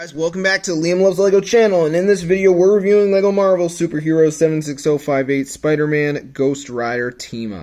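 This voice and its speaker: Pitched high, a man talks at a fairly quick pace with hardly any pauses. His loudness swings widely, while his pitch variation stays ordinary. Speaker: toy review youtuber. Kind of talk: product review. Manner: casual, slightly halting.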